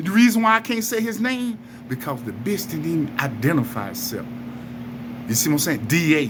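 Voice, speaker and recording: A man talks at a very fast pace with very wide pitch swings. Noticeable background noise and audible room echo surround him. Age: 60s. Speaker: wrongfully convicted man speaking out. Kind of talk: angry monologue to camera. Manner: animated.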